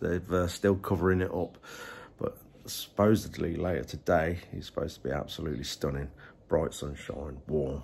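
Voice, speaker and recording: At a moderate pace, a man speaks with a very deep, low pitch, vocal fry, and ordinary pitch variation. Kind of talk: casual vlog chat. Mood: cheerful, slightly under the weather. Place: home room. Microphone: phone near.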